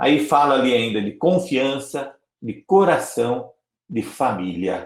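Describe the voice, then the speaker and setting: With vocal fry and very wide pitch swings, a man of medium pitch talks at a very slow pace. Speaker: Salesian priest giving a formation talk. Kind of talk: online formation lecture.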